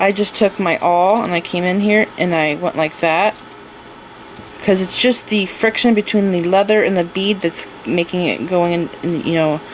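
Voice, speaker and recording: Noticeable background noise runs under the recording. A woman speaks at a medium pitch with fairly even intonation. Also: moderate pace. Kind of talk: tutorial. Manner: casual, step-by-step explaining.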